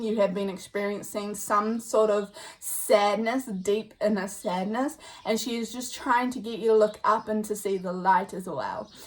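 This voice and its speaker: With noticeable background noise, a woman at fairly high pitch talks at a moderate pace with fairly even intonation. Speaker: tarot card reader. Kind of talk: pick-a-card psychic reading. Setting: indoors with windows and doors open. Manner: loud.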